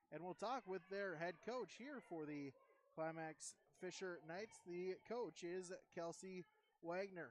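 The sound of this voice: A man speaks at a high pitch and a fairly slow pace. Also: ordinary pitch variation.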